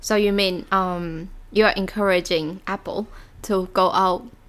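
The recording is very clean, with a silent background. A woman at medium pitch speaks in a monotone, flat intonation. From Taiwan. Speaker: podcast co-host. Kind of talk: casual chat.

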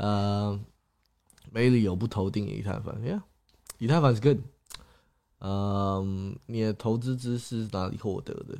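A man with a fairly low pitch and a dark, mellow tone talks at a very slow pace. His intonation stays fairly even, broken by long, frequent pauses. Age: 20s. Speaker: YouTuber and crypto investor. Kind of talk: livestream chat. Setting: livestream. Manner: code-switching with English.

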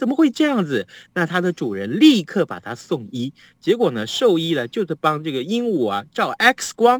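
Speaking at a moderate pace, a man with a high pitch uses an animated tone and very wide pitch swings. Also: dry, close sound with no echo. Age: 50s. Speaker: radio news host. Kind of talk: casual chat. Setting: remote link from home.

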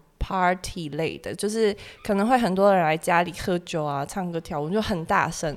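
An unremarkable speaking voice: a woman at a fairly low pitch, moderate pace, ordinary pitch variation. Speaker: graduate student abroad. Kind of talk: casual chat.

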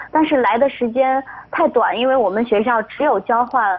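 A woman with an ordinary speaking voice, lively intonation and a moderate pace. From Shaanxi, northwest China. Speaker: broadcasting student. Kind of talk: interview.

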